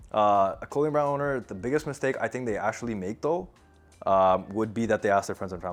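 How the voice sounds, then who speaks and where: A man talks with lively intonation. His pace is very fast. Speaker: clothing manufacturer. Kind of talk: Q&A interview; social media video take. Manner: stammers.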